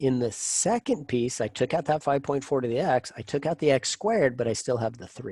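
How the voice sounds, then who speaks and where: At a fairly quick pace with hardly any pauses, a man speaks in a somewhat breathy voice of medium pitch and ordinary pitch variation, in a very clean, dry, close recording with no echo and a silent background. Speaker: math professor. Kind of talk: lecture. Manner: fast.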